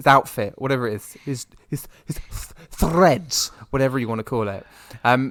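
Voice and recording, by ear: Lively intonation in a natural voice reading aloud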